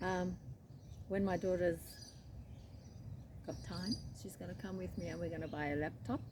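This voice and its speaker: A woman with an Australian accent, long, frequent pauses and audible room echo. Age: 70s. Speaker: crochet vlogger. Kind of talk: casual chat. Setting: outdoors. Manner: relaxed, unhurried.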